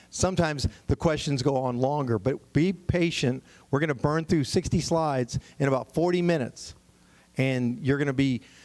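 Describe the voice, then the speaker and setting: Very even loudness and ordinary pitch variation, with a Texan accent. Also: man, fairly high pitch for a man. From Texas, San Antonio area. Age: 60s. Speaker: property tax consultant. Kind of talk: seminar presentation. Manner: fast.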